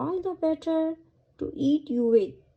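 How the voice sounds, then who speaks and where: A woman's put-on character voice, pitched high. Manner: growling.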